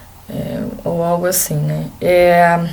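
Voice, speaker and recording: Noticeable background noise and audible room echo around a woman's medium-pitched voice. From Brazil, Rio de Janeiro. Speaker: exchange student vlogger. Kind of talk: casual vlog talk.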